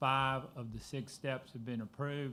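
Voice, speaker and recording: A man talks at medium pitch with monotone, flat intonation. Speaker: school district administrator presenting construction update. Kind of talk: presentation at public board meeting. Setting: school board meeting room. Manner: soft-spoken.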